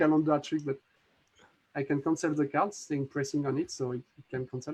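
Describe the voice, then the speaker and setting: Fairly quick, fairly even speech from a man with a French accent and fairly high pitch, dry and close with no echo. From France. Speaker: magic app creator. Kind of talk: live demo tutorial. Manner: halting.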